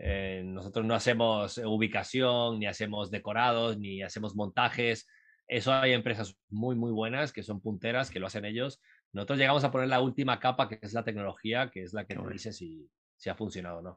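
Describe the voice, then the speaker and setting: Against a quiet background, a normal speaking voice moves at a fairly quick pace with big swings in loudness. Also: man, fairly low pitch for a man, fairly even intonation. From Uruguay, raised in Latin America. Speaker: entrepreneur and startup mentor. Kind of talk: casual interview.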